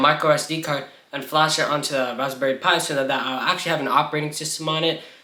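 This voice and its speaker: Over noticeable background noise, a man talks at a very fast clip. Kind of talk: tech tutorial vlog.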